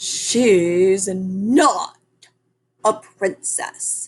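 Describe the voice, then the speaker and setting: Putting on a character voice, a woman speaks at a medium pitch with lively intonation. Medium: read story. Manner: conspiratorial, whispering.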